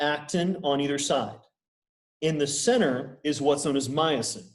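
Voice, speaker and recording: Heard with audible room echo, a man with a fairly high pitch speaks at a fairly slow pace. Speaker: university lecturer. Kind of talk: lecture. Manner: casual.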